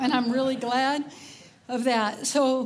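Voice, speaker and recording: A woman with a Texan accent at a fairly slow pace, with audible room echo. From Texas, Cajun roots. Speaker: conference speaker. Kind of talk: conference talk. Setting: stage with audience. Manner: casual, chatty.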